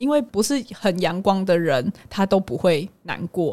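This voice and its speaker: In a strong Taiwanese accent, a woman talks at a moderate pace with lively intonation. Her pitch is medium for a woman, and her tone is dark and mellow. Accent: strong Taiwanese Mandarin. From Taiwan, Hualien. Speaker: psychologist. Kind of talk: casual chat.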